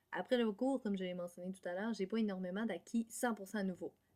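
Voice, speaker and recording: A woman with a Quebec accent speaks at a fairly quick pace. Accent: Québécois French. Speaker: music education student. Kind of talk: class presentation. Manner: fast.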